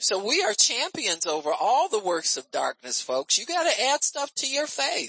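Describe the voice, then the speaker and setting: At a moderate pace, a woman speaks in an animated tone with vocal fry and very wide pitch swings. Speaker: preacher. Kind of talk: sermon, teaching-style preaching to a live congregation. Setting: church. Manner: animated, conversational preaching, calling for amens; folksy and teasing, frequent repeated amens and fillers.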